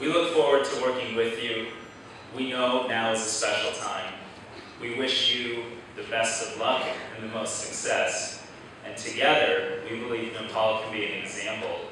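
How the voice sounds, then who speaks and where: Amid light background noise and strong room echo, a man speaks at a moderate pace with long, frequent pauses. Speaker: guest. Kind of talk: formal speech. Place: hall.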